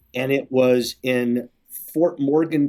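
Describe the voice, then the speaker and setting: In an American accent, a man with a normal speaking voice and medium pitch talks at a fairly slow pace. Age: 50s. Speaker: sports organization executive. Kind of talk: interview conversation.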